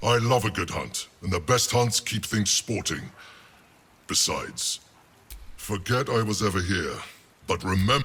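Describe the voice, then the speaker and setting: A man does a put-on character voice at a fairly low pitch. He keeps a moderate pace with long, frequent pauses. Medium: video game. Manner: sly, teasing.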